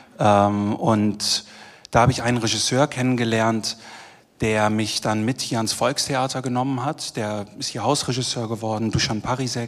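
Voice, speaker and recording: Medium in pitch, this man has an unremarkable speaking voice, fairly even intonation and a moderate pace. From Germany, Düsseldorf. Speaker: theatre director. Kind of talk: panel discussion. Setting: stage with live audience.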